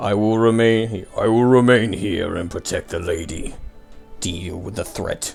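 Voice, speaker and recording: Over clear music in the background, a man puts on a booming character voice of medium pitch, delivered at a moderate pace. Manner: commanding.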